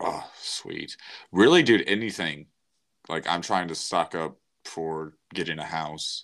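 On a very clean recording with a silent background, a man speaks at a fairly slow pace. Long, frequent pauses break up his speech. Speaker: podcast co-host. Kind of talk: casual chat. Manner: joking.

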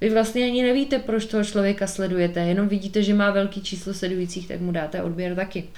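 A woman speaks at a very fast pace with hardly any pauses, in a medium pitch with fairly even intonation. Background noise is noticeable. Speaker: podcast host. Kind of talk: solo monologue podcast.

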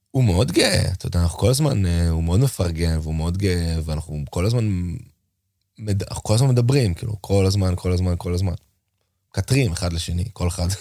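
Very deep and low, this man's voice moves with ordinary pitch variation. The recording is very clean with a silent background, and he talks at a fairly quick pace. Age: 40s. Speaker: drummer. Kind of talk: casual chat. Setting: school room on location.

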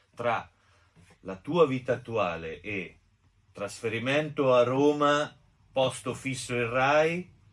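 A man at a very slow pace, with ordinary pitch variation and long, frequent pauses. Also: medium pitch for a man. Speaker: co-host. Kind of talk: casual chat.

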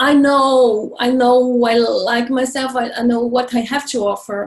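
A woman with a Brazilian accent, high-pitched, flat and monotone, at a very slow pace. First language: Portuguese. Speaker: life coach and healer. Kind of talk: interview, casual chat.

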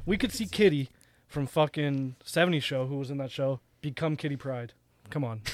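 With a normal speaking voice, a man talks at a moderate pace, fairly high in pitch, with ordinary pitch variation. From Canada. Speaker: podcast co-host. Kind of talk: casual chat.

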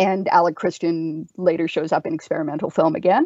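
A woman with a Canadian accent speaks in a plain, everyday voice at a fairly low pitch. Her intonation is fairly even, and the sound is dry and close with no echo. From Canada. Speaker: horror author and podcast co-host. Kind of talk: casual chat.

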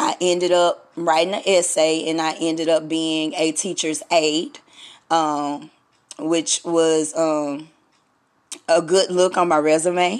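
In a very clean recording with a silent background, a woman with a Southern US accent speaks very slowly in a fairly low voice with monotone, flat intonation. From US South. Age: 30s. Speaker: radio host. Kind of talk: solo podcast monologue. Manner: casual, halting with fillers.

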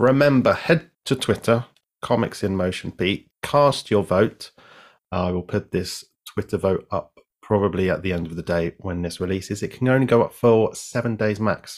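Here a man speaks with a British accent at a moderate pace. His pitch is fairly low, with ordinary pitch variation. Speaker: game show style podcast host. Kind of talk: casual chat. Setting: video call.

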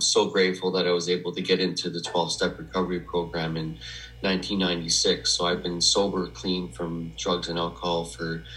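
Speaking at a moderate pace with a Canadian accent, a man has a very deep, low pitch and vocal fry. His pitch variation is ordinary, and audible room echo is present. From Western Canada (Edmonton, Alberta). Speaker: memoir author in recovery. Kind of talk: personal testimony interview. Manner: halting, many fillers.

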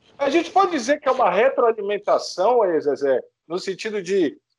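A man talks with lively intonation at a moderate pace. The background is quiet. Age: 40s. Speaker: podcast host. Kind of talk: casual chat.

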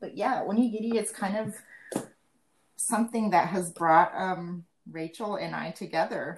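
A somewhat breathy woman with an American accent, medium pitch and ordinary pitch variation, at a moderate pace with long, frequent pauses and big swings in loudness. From Japan, Malaysia and Seattle. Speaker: podcast co-host, school kitchen worker. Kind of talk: casual chat.

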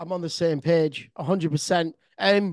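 Speaking in an animated tone, a man uses a high pitch with ordinary pitch variation. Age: 40s. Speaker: podcast host and DJ. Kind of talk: interview. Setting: remote call.

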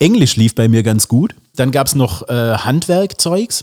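Lively intonation and a dark, mellow tone come at a moderate pace in a dry, close sound with no echo on a very clean recording with a silent background. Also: man. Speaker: drummer and singer. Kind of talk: casual chat.

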